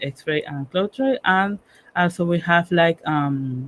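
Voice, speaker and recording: A woman speaks with a Panamanian accent at a fairly slow pace. Her fairly low pitch shows ordinary variation. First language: Spanish. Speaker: cybersecurity professional and workshop speaker. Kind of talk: technical workshop presentation. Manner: halting, with many fillers.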